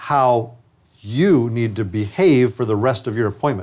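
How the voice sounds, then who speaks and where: With a quiet background, a man's speech moves at a moderate pace. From upstate New York. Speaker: dentist and trainer; trainer. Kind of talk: lecture. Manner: conversational. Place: studio. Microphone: lapel.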